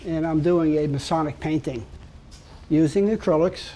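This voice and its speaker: A man with a Brooklyn accent speaks at a fairly slow pace in a fairly high pitch with a dark, mellow tone. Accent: New York (Brooklyn). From New York City, Brooklyn. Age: 70s. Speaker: artist and sculptor. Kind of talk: casual talk about own artwork.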